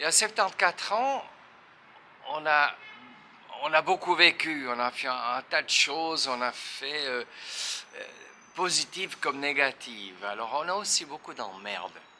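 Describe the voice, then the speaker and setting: Speaking in a Swiss accent, a man talks at a fairly slow pace with lively intonation and long, frequent pauses. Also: fairly high pitch for a man. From Switzerland, French-speaking (Neuchâtel). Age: 70s. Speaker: retired guitarist. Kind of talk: interview. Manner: halting.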